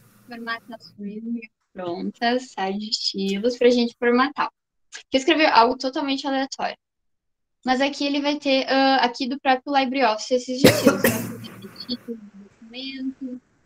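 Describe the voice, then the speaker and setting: The loudness swings widely while pitch varies in an ordinary way. The sound is dry and close, with no echo. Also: woman, high pitch for a woman. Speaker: student teacher. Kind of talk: online class. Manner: fast; calm.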